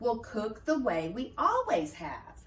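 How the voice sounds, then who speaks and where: A woman's fairly high put-on character voice at a fairly slow pace. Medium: read story.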